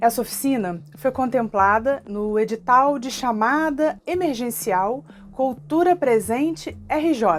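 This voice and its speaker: In a Rio de Janeiro accent, a woman speaks at a very slow pace. Her high-pitched voice makes very wide pitch swings. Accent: Carioca Brazilian Portuguese. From Rio de Janeiro (Tijuca, North Zone). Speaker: cultural project manager. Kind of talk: online workshop lesson to camera.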